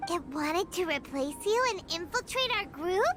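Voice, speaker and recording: Someone does a put-on character voice at an extremely high pitch and a moderate pace. Clear background noise runs underneath. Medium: video game. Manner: excitable, high energy.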